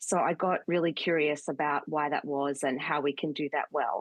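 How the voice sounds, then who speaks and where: A woman with an Australian accent speaks at a moderate pace. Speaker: communications consultant. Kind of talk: interview.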